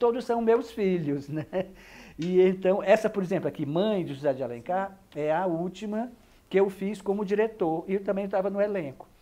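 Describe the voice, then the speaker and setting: Dark and mellow in tone, a man's voice sits high in pitch. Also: ordinary pitch variation, moderate pace. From Brazil, Ceará (Fortaleza). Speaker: actor, director and theatre historian. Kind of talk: interview. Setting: at the guest's home in central Fortaleza. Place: home room. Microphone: lapel.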